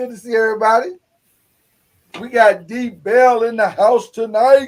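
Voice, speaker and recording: In an Arkansas accent, a man speaks fairly slowly at an extremely high pitch, his intonation monotone and flat while his loudness swings widely. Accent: Arkansas, sounds country. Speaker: podcast host. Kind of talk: casual chat.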